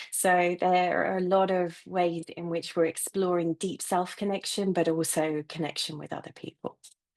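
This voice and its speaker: Speaking with a British accent, a woman with a fairly low voice moves at a moderate pace in a monotone, flat way, with hardly any pauses. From UK. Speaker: therapist and coach. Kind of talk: panel introduction.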